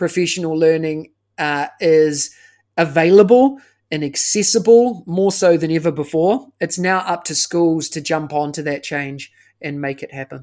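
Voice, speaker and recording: In a very clean recording with a silent background, a man with a New Zealand accent talks at a moderate pace and a fairly high pitch, with ordinary pitch variation and big swings in loudness. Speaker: education consultant. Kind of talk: interview.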